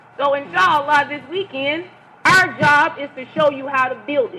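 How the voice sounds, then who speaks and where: A woman projects a raised voice at a high pitch with lively intonation. Noticeable background noise runs underneath. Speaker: religious lecturer. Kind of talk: lecture. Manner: loud.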